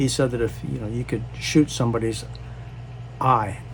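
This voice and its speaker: A man speaks in a room with audible echo, and noticeable background noise runs underneath. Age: 70s. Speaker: disaster relief charity founder. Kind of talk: personal storytelling monologue. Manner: halting, many fillers.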